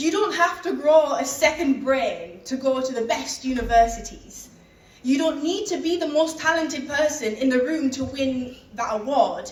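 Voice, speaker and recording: Audible room echo surrounds a woman's high voice, which has a Teesside accent and ordinary pitch variation. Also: moderate pace. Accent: northern English, Teesside. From northern England. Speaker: keynote speaker. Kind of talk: motivational speech.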